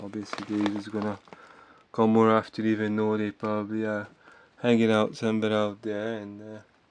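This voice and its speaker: A man's fairly low pitch, monotone and flat, at a moderate pace amid noticeable background noise. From Hungary. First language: Hungarian. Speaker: vlogger. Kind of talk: casual monologue vlog. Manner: halting, with many fillers.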